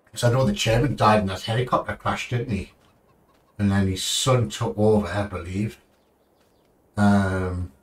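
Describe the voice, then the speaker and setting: A man in a British accent talks with a fairly low, somewhat breathy voice and fairly even intonation, leaving long, frequent pauses. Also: moderate pace. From United Kingdom. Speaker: gaming streamer. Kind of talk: live gameplay commentary. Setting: live stream from home. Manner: casual, rambling.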